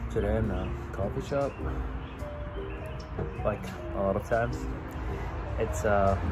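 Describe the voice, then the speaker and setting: Over clear music in the background, a man is speaking. His pace is moderate. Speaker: pipe-smoking vlogger. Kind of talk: casual vlog chat. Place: cafe. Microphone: lapel.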